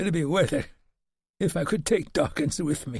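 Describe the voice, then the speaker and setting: Using a put-on character voice, a man speaks in a raspy, high pitch at a moderate pace. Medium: read story. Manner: rough plain speech.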